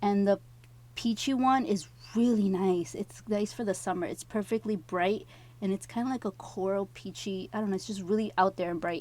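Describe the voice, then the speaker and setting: A woman's medium-pitched voice with ordinary pitch variation, in a very clean recording against a silent background. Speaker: nail artist vlogger. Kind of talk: product review tutorial voiceover. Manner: fast.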